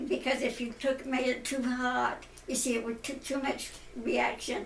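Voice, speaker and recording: A woman with a high pitch speaks at a moderate pace and fairly even intonation, with noticeable background noise and audible room echo. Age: 90s. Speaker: elderly interviewee sharing life memories. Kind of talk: family interview, life story. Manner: halting.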